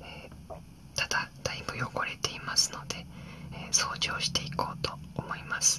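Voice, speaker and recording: This soft-spoken whisper moves at a fairly slow pace over noticeable background noise. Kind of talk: quiet calm vlog narration. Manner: soft ASMR whisper. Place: home room.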